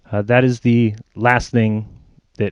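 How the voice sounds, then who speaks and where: A man's medium-pitched voice, monotone and flat, with a dry, close sound with no echo and a quiet background. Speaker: flat earth video maker. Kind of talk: response video monologue. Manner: unpolished, casual.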